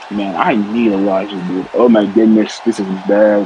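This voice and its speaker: A man speaks at a fairly slow pace with fairly even intonation and a fairly low pitch. Audible room echo and noticeable background noise surround his voice. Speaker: wrestling commentator. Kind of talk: live commentary. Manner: mumbling.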